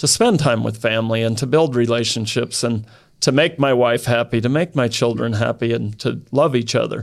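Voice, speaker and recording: In a very clean recording with a silent background, a man with an American accent speaks with vocal fry and ordinary pitch variation. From Idaho. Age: 50s. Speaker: cattle rancher. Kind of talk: casual interview.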